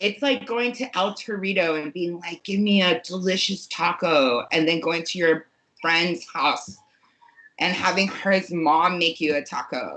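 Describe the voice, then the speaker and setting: A woman speaks at a fairly slow pace with an American accent, her fairly low pitch showing ordinary pitch variation. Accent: New Jersey accent, downplayed. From New Jersey. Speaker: podcast guest. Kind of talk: casual chat. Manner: animated.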